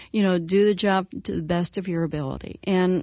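In a very clean recording with a silent background, a woman speaks at a moderate pace with fairly even intonation. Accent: US Midwestern. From Indiana, US Midwest. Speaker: former news and sports anchor, communications company head. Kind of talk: radio interview.

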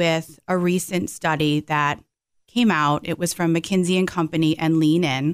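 A plain, everyday voice at a moderate pace, with very even loudness, ordinary pitch variation, and a very clean recording over a silent background. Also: woman. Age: 40s. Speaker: financial advisor. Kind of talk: casual chat.

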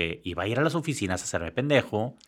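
Recorded very cleanly against a silent background, the speaker uses lively intonation at a moderate pace with a Mexican accent. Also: man. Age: 50s. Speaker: engineer, designer and photographer. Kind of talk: casual interview.

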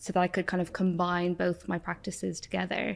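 Fairly quick and monotone, a woman with an Irish accent speaks at medium pitch with flat intonation. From Ireland. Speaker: doctor and nutritionist. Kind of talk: casual chat. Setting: in-store recording studio.

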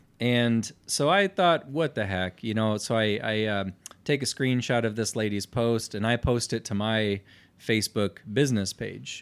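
A man with an American accent uses a normal speaking voice, pitched medium with ordinary pitch variation. He talks at a fairly slow pace on a very clean recording with a silent background. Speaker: podcast co-host. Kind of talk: casual chat.

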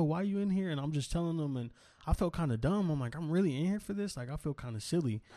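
With an American accent, a man talks at a very fast pace and with lively intonation. His tone is dark and mellow against a quiet background. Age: 20s. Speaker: podcaster. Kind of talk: casual chat.

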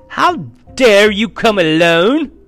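Faint music plays in the background as a man does a put-on character voice at a high pitch. His fairly bright tone swings widely in pitch at a slow pace.

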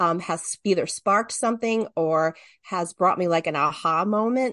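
A woman with an unremarkable speaking voice, medium pitch and lively intonation, at a fairly slow pace, in a dry, close sound with no echo against a quiet background. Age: 50s. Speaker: podcast guest, writer. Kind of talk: casual chat.

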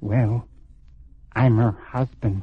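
A man whispers in a put-on character voice. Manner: whispering.

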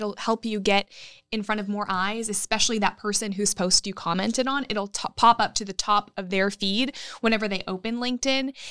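Recorded very cleanly with a silent background and a dry, close sound without echo, a woman talks at a fairly quick pace in an unremarkable speaking voice, her pitch fairly high and her intonation fairly even. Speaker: business chamber leader and former news anchor. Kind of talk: interview.

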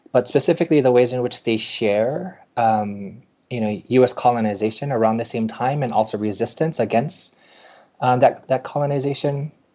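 With a dark, mellow tone and ordinary pitch variation, the voice keeps a moderate pace over a quiet background. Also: man, medium pitch for a man. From Hawaii (Maui). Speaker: professor and author. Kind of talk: interview. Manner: halting, many fillers.

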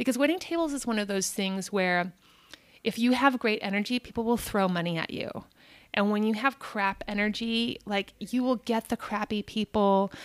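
A woman with a plain, everyday voice talks at a moderate pace, her fairly high pitch showing ordinary pitch variation. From US Southwest (Albuquerque, New Mexico). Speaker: actor and podcaster. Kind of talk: casual interview chat.

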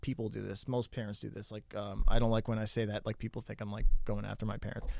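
This is a man with an American accent. He keeps his intonation fairly even. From New Jersey. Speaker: comedian and mental health counselor. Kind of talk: casual chat. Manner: halting, many ums and uhs.

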